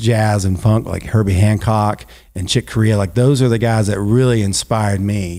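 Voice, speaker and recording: On a very clean recording with a silent background, a man with a Southern US accent speaks at a moderate pace in a dark, mellow tone, his fairly low pitch held to fairly even intonation. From South Carolina, Greenville. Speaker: ballpark organist. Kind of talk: casual interview chat. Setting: podcast studio in a garage.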